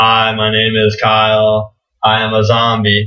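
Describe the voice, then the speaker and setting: A man's put-on character voice, medium in pitch, flat and monotone at a fairly slow pace. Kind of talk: lifeless, expressionless. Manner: flat, monotone.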